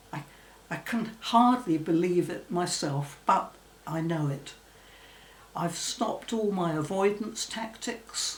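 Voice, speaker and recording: The speaker talks at a very slow pace with lively intonation and long, frequent pauses. Noticeable background noise and audible room echo fill the recording. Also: woman, fairly low pitch for a woman. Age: 80s+. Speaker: former phobia sufferer. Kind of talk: testimony.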